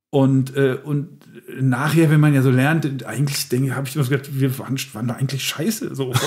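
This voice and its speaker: A man at a very fast pace, somewhat breathy, fairly high-pitched, with fairly even intonation. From Lower Rhine, Germany (Emmerich). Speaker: comedian. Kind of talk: casual chat.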